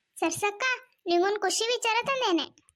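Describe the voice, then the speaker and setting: A woman puts on a squeaky character voice at an extremely high pitch. Her pitch varies in an ordinary way. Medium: cartoon.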